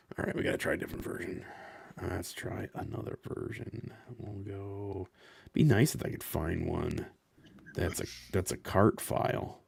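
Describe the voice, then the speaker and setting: A man's somewhat breathy, fairly low voice at a moderate pace, broken by long, frequent pauses. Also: ordinary pitch variation. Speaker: streamer. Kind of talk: live gaming stream chat. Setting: live stream. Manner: halting, repeats words.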